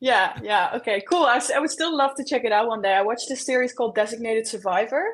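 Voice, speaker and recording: A woman with a Dutch accent talks at a very fast pace with hardly any pauses in a high pitch, against noticeable background noise. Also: ordinary pitch variation. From Netherlands. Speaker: photographer. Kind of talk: casual interview.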